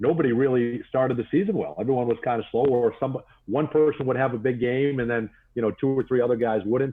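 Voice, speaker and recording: Speaking with an American accent, a man talks at a fairly quick pace in a medium pitch. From Boston, Massachusetts (Woburn). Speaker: sports broadcaster. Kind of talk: podcast interview. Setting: virtual studio.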